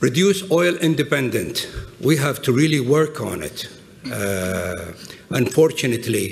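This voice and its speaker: A medium-pitched male voice with an Arabic accent and very wide pitch swings, amid noticeable background noise and audible room echo. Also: fairly slow pace. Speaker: business executive and adjunct professor. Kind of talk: conference talk. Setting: stage with audience.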